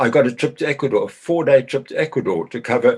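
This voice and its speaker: A man talks at a fairly quick pace. His voice has vocal fry. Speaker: business chamber chairman, former agricultural journalist. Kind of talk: short talk.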